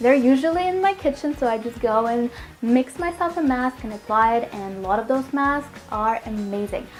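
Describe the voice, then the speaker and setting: A woman with a high pitch speaks at a moderate pace with lively intonation. Noticeable background noise can be heard. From Russia, Moscow. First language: Russian. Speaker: healthy cooking vlogger. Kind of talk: casual Q&A chat to viewers.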